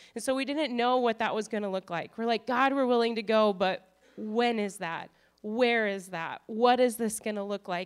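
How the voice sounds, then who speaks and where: A woman with an Upper Midwest accent speaks at a fairly high pitch with fairly even intonation. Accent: Upper Midwest American. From North Dakota. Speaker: missionary. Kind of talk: testimony. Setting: church.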